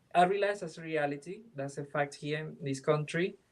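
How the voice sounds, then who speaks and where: A man with a Venezuelan accent and ordinary pitch variation. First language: Spanish. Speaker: film director. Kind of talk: interview. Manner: halting, with many fillers and restarts.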